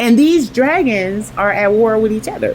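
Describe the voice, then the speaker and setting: A woman's fairly high voice comes through noticeable background noise. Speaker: online video host. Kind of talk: religious commentary monologue. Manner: halting, stumbling over words; animated.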